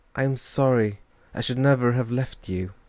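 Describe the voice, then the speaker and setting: A man puts on a character voice at a medium pitch that sounds shaky. He keeps his intonation fairly even at a moderate pace. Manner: remorseful, apologetic.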